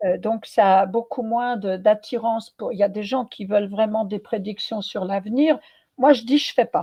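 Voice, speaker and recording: A woman with a fairly high pitch and a somewhat breathy voice speaks at a fairly slow pace. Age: 70s. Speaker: medium and former Zen nun. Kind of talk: interview. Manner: hesitant, many fillers.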